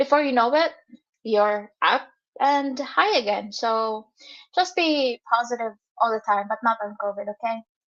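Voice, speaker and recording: The woman's voice is high-pitched. She uses lively intonation. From Philippines (Visayas). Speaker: vlogger. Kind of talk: live stream Q&A. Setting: live stream. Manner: casual, hesitant with fillers.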